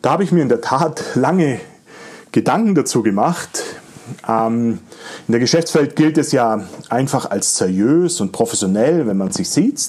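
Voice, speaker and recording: A man with a fairly high pitch speaks fairly slowly, using very wide pitch swings. He leaves long, frequent pauses. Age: 40s. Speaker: podcast host and digital agency owner. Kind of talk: solo podcast monologue.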